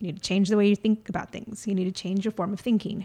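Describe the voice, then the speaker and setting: A woman speaks at medium pitch in a dark, mellow tone. Her intonation stays fairly even. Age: 40s. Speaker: podcast host. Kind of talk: solo monologue. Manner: hesitant, many fillers.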